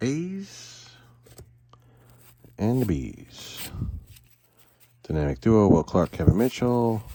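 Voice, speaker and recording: Loud and very slow, a man with a medium pitch speaks with very wide pitch swings and long, frequent pauses. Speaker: card collecting youtuber. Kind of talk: casual box opening commentary.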